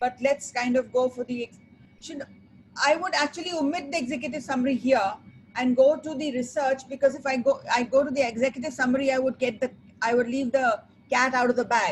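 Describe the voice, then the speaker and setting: A woman talks at a fairly quick pace in a high voice. Her intonation stays fairly even. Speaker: sustainability consultant. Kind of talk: webinar presentation. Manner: fast.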